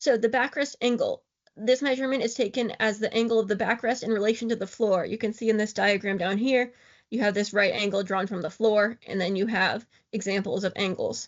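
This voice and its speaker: Talking at a fairly quick pace, a woman keeps a fairly high pitch and fairly even intonation. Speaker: wheelchair outreach educator. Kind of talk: lecture. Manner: fast.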